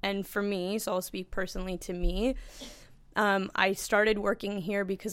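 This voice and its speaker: With monotone, flat intonation, a woman speaks at a moderate pace. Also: very clean recording, silent background. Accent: Canadian. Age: 30s. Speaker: sales director. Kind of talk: casual chat. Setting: company boardroom.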